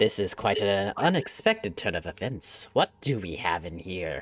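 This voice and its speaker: A man puts on a character voice at a fairly low pitch and a moderate pace. Faint music plays in the background. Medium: actual play. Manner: calm, condescending, chuckling.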